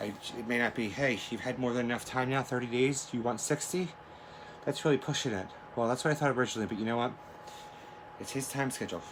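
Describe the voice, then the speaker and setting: Noticeable background noise surrounds the man as he rattles along at a very fast pace. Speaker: video diarist. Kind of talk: personal video diary. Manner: slight stutter and slurring.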